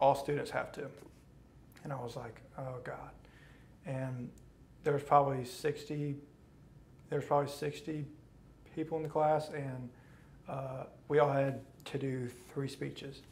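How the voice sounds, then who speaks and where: The voice is somewhat breathy and monotone, moving at a fairly slow pace with long, frequent pauses over light background noise. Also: man, fairly high pitch for a man. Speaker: college student who stutters, therapy client. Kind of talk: interview answer. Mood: wry, a bit tense.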